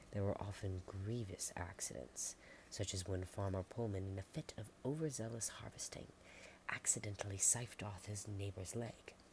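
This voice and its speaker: The speaker is soft-spoken and somewhat breathy. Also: woman, very deep, low pitch for a woman, ordinary pitch variation, moderate pace. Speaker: ASMR creator. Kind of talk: ASMR book narration.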